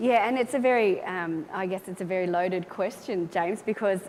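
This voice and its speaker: With an Australian accent, a woman talks at a very fast pace. Her pitch is medium, and there is noticeable background noise. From small-town Australia. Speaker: air force officer, panelist. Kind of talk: panel discussion. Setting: stage with audience.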